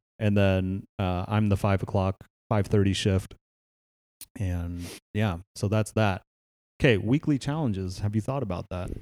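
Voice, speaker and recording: A man's fairly low voice with an American accent, a fairly slow pace, long, frequent pauses and ordinary pitch variation, on a very clean recording with a silent background. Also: dry, close sound with no echo. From Northern California, Palo Alto. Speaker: podcast host, fitness trainer. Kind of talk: casual chat. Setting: home garage gym.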